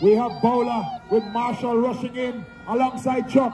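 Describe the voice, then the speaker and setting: Over crowd noise in the background, a man talks very slowly in an extremely high pitch with fairly even intonation. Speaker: race commentator. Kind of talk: commentary. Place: stadium. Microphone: pa.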